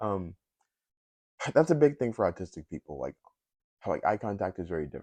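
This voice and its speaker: With vocal fry and very wide pitch swings, the voice moves at a fairly quick pace in a dry, close sound with no echo. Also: man. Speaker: YouTuber. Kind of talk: casual vlog monologue. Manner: halting, many filler words and pauses. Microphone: new mic set.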